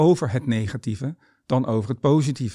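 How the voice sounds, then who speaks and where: Here is a man with an ordinary speaking voice at a medium pitch. The recording is very clean, with a silent background. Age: 50s. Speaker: tennis coach and author. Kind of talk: monologue about mindset.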